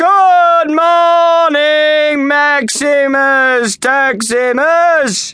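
A put-on character voice drawls at a high pitch. The pace is very slow. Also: hardly any pauses. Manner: slow drawl.

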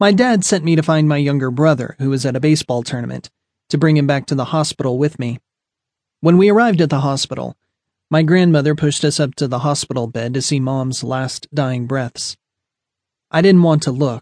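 A man's unremarkable speaking voice, fairly high in pitch with ordinary pitch variation, at a fairly quick pace, in a dry, close sound with no echo. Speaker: audiobook narrator. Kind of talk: audiobook reading of a first-person memoir. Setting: studio.

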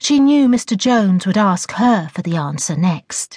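The intonation is lively throughout. It comes in a natural reading voice.

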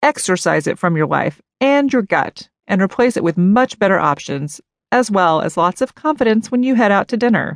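Upbeat in tone, a woman speaks at a medium pitch and moderate pace with very wide pitch swings and very even loudness. The sound is dry and close with no echo. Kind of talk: audiobook reading of a humorous memoir, performed as a sassy personal rant. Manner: upbeat and chatty, like talking directly to a friend.

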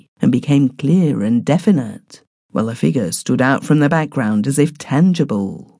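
A woman speaks in a very deep, low voice with a dark, mellow tone and vocal fry, her pitch swinging very widely in a dramatic delivery against a quiet background. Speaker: audiobook narrator. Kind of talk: scripted narration, reading a classic story aloud in first person. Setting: studio recording. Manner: dramatic, hushed and suspenseful, building eerie atmosphere; measured, formal and unhurried, with a refined period-story tone.

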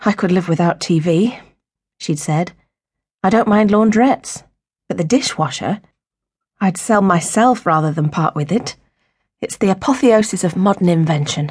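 A woman speaks at a medium pitch, somewhat breathy. Her intonation is lively, and she pauses long and often. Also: moderate pace. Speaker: audiobook narrator. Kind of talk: audiobook narration, abridged fiction reading; dramatic narration. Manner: dramatic, expressive, shifting between tender and sharp; measured, storytelling pace.

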